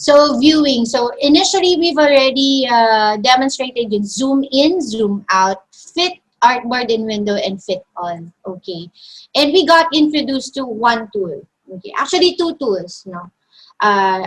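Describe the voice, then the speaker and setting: Here a woman with a Filipino accent speaks at a high pitch. Her voice moves in very wide pitch swings. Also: big swings in loudness. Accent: Filipino English, Taglish code-switching. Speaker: design software instructor. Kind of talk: online tutorial.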